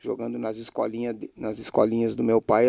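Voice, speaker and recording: A man speaks in a fairly low pitch with a dark, mellow tone. The sound is dry and close with no echo, on a very clean recording with a silent background. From Brazil, Bagé, Rio Grande do Sul. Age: 40s. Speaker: former footballer, club director. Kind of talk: interview.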